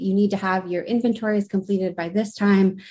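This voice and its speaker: A woman with a dark, mellow tone, somewhat breathy and at a medium pitch, talks at a moderate pace in a monotone, flat way. The background is quiet. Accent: American. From Uintah and Ouray Reservation, Utah (Northern Ute). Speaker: graduate student, podcast co-host. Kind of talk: panel discussion.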